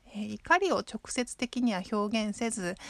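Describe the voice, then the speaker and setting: A woman's fairly high, somewhat breathy voice comes through on a very clean recording with a silent background. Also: dry, close sound with no echo. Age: 30s. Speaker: podcast host. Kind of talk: casual monologue. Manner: frequent fillers.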